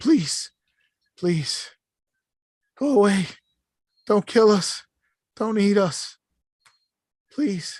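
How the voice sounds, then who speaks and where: Whispering in a put-on character voice, the speaker goes at a very slow pace with long, frequent pauses. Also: female-sounding voice. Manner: pleading, whispering.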